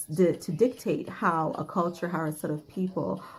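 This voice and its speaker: Recorded very cleanly against a silent background, a woman with a fairly low pitch speaks at a moderate pace in a somewhat breathy voice. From Jamaican Canadian. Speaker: YouTuber on mental health. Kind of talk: vlog monologue. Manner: rhythmic.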